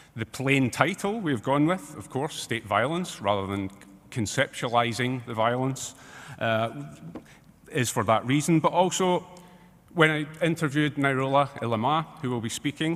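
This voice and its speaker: With a strong British accent, a man speaks using lively intonation. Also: medium pitch for a man. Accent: strong regional accent, UK. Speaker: academic researcher, expert witness. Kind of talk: expert testimony at tribunal hearing. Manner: fast.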